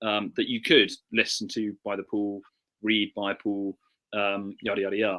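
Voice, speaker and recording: A bright, sharp tone carries an English accent on a very clean recording with a silent background. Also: man, dry, close sound with no echo. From southern England. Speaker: author and historian. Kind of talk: interview. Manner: halting.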